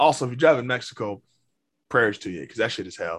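A man speaks in an animated tone that is bright and sharp. He has an American accent. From Indiana, US Midwest. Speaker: podcast host. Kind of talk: casual banter podcast chat. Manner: joking, animated.

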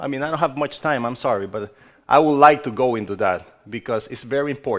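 A man with a non-native accent at a very fast pace. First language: not English. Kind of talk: sermon. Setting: church. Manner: halting.

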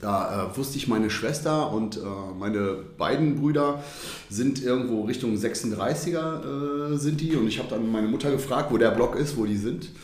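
A man at medium pitch and moderate pace with ordinary pitch variation, amid noticeable background noise and audible room echo. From Düsseldorf, Germany. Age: 40s. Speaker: football fan, former hooligan. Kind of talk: casual interview.

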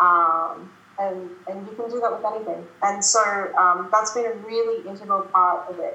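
With an Australian accent, a woman speaks at medium pitch and a moderate pace with fairly even intonation, amid audible room echo and noticeable background noise. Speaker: productivity coach. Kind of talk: casual interview chat. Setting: video call. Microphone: poor audio on her end.

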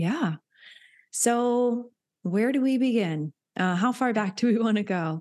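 A woman's fairly high voice with lively intonation, very even loudness, a fairly slow pace, long and frequent pauses, and a quiet background. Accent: American. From US South, Hilton Head, South Carolina. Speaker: nurse and wellness coach. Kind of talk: casual interview chat.

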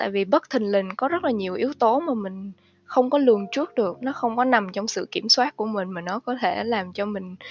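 A woman's normal speaking voice, a normal speaking voice, at a fairly quick pace with lively intonation and a dry, close sound with no echo. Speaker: financial analyst. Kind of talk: interview.

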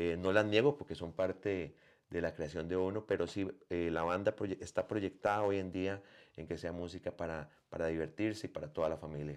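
With a very deep, low pitch and ordinary pitch variation, a man speaks at a moderate pace against a quiet background. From Costa Rica. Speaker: musician and bandleader. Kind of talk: interview.

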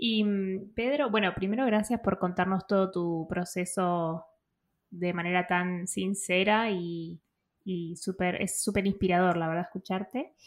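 In a very clean recording with a silent background, a woman with an ordinary speaking voice talks at a medium pitch and a fairly slow pace, her intonation fairly even. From Argentina, outskirts of Buenos Aires. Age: 30s. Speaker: podcast co-host. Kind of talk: interview.

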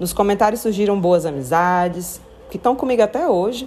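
A woman with a normal speaking voice, medium pitch and lively intonation, at a moderate pace. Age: 40s. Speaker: podcaster. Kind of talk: solo podcast monologue. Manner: casual, conversational.

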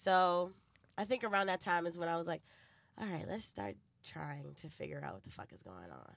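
A woman with a New York accent shows big swings in loudness in a very clean recording with a silent background. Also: moderate pace. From New York City (Bronx), then New Jersey. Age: 20s. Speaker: podcast host. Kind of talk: casual chat.

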